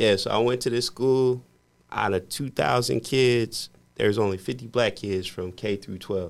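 A man with an American accent and a plain, everyday voice, medium pitch, ordinary pitch variation and a moderate pace, on a very clean recording with a silent background. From US Midwest, Indiana. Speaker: podcast host and mortgage professional. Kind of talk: casual chat.

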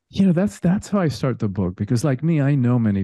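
Speaking very fast with a Spanish accent, a man has a dark, mellow tone, with a dry, close sound with no echo and a quiet background. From Cuba. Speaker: spiritual teacher and coach. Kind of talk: casual interview chat.

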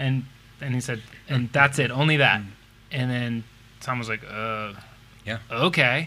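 At a moderate pace, a man speaks in a bright, sharp tone with an American accent. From United States. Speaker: musician. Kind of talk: casual chat.

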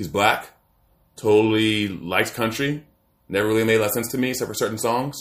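A man with an American accent and a normal speaking voice, medium in pitch, at a fairly quick pace with ordinary pitch variation. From Maryland, US. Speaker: podcast co-host. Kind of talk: casual chat.

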